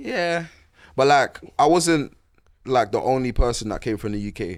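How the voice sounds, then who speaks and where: Lively in intonation, a man talks with a London accent. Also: medium pitch for a man, moderate pace. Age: 20s. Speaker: boxer and musician. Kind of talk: casual chat.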